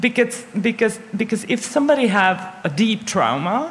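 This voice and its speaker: Noticeable background noise accompanies talking delivered at a moderate pace. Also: woman. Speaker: audience member. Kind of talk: audience question. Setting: stage with audience. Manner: halting.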